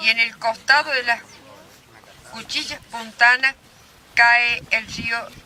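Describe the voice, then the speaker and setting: A woman at a very slow pace, her voice fairly high, with noticeable background noise. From Argentina, San Luis (Conlara valley). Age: 80s+. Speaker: elder storyteller. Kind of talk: public talk. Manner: halting.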